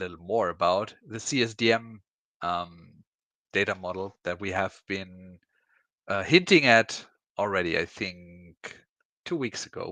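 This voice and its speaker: With a German accent, a man speaks at a fairly low pitch with ordinary pitch variation and a bright, sharp tone, leaving long, frequent pauses. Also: fairly slow pace, quiet background. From Germany. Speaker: IT consultant panel host. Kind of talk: live panel discussion.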